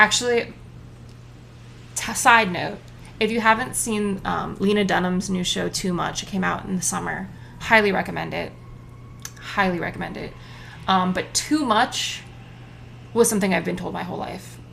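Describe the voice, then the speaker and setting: In a room with audible echo, a woman talks at a moderate pace with long, frequent pauses and big swings in loudness. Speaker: solo podcaster. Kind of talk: casual monologue. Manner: talkative, rambling with side notes.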